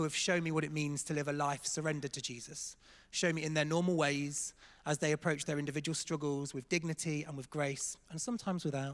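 This man speaks with an English accent at a very fast pace. His pitch is fairly high and his intonation fairly even. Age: 30s. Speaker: church staff member. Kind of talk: testimony. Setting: church stage with congregation.

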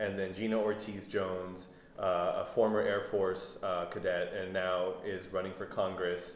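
A man talks fairly slowly while noticeable background noise carries on around him. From El Paso, Texas. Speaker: podcast correspondent and interviewer. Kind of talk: interview.

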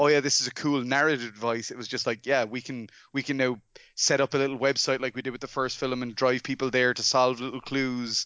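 With an Irish accent, a man talks fairly quickly at a medium pitch. His intonation stays fairly even. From Ireland. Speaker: film director. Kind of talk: casual chat.

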